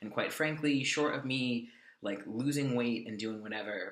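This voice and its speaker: With an American accent, a man speaks at a medium pitch amid noticeable background noise and audible room echo. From California. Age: 20s. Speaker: vlogger. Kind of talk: casual vlog update. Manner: fast; hesitant, many fillers.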